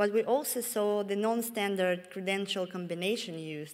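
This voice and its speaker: In a room with audible echo, a woman with a Russian accent speaks at a fairly slow pace with ordinary pitch variation. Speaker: security researcher. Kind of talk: conference talk. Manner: halting, with many fillers.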